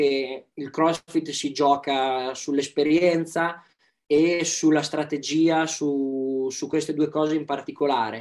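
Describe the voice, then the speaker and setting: On a very clean recording with a silent background, a man speaks very slowly in a fairly high pitch. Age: young. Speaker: athlete. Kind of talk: casual chat.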